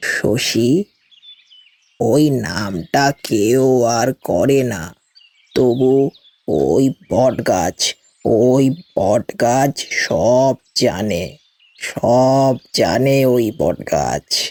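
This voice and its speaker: In a put-on character voice, a man speaks very slowly at a medium pitch with ordinary pitch variation, in a dry, close sound with no echo. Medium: audio drama. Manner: slow, reminiscing, repetitive.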